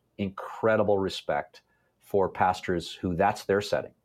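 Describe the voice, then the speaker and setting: In a Canadian accent, a man speaks with a plain, everyday voice, fairly low in pitch. His pace is fairly slow and his intonation fairly even. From Canada, Toronto area. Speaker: pastor. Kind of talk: interview.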